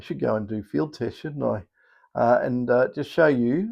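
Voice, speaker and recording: A man speaks with an Australian accent and lively intonation. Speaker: metal detector coil maker. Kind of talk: casual vlog. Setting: small electronics workshop. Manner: hesitant, many fillers.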